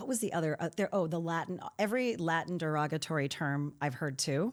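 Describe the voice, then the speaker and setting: A woman speaks at a fairly quick pace in a normal speaking voice with an American accent, her fairly low pitch carried by lively intonation. The recording is very clean, with a silent background. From Saint Louis, US Midwest. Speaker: podcast host. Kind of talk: interview conversation.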